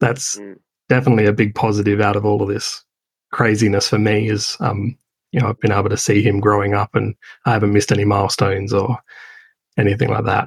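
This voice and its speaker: A man with an Australian accent talks at a very fast pace in a fairly low, somewhat breathy voice. His intonation stays monotone and flat. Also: dry, close sound with no echo. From Adelaide, South Australia. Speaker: business owner building offshore teams. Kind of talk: interview. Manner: hesitant, repeats words.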